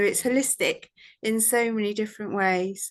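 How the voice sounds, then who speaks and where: Over a quiet background, a woman with a British accent speaks with fairly even intonation. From UK. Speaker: vet nurse and course student. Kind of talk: testimonial. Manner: hesitant, many fillers.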